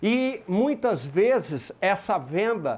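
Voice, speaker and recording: A man with a strong rural Minas Gerais accent, over a quiet background. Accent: strong rural Minas Gerais (caipira). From Brazil, Minas Gerais (rural). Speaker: motivational sales speaker. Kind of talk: motivational talk. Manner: animated.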